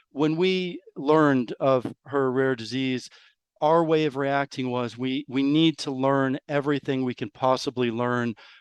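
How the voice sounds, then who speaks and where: A man with an American accent has an ordinary speaking voice, fairly high in pitch with ordinary variation. His fairly slow delivery sounds dry and close, with no echo. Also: quiet background. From New York. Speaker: rare disease parent. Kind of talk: interview.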